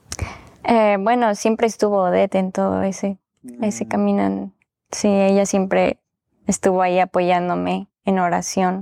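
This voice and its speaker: The woman's loudness stays very even at a moderate pace, with a dry, close sound and no echo. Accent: Mexican. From Mexico. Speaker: bible college graduate. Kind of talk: testimony.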